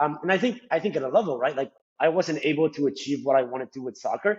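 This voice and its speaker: Rushing along at a very fast pace, a man speaks with a fairly high pitch and lively intonation. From Colombia. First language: Spanish. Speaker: finance professional. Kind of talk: casual interview. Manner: frequent fillers and repetitions.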